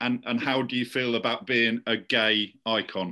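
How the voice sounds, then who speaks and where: Against a quiet background, a man talks in a medium pitch with a bright, sharp tone. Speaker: podcast host. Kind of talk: interview.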